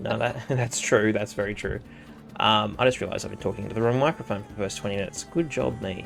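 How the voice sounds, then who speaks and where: Music plays in the background. A man with a fairly low pitch talks at a very fast pace with lively intonation. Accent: Australian. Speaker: dungeon master. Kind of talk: tabletop game narration. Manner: loud; hesitant, many fillers.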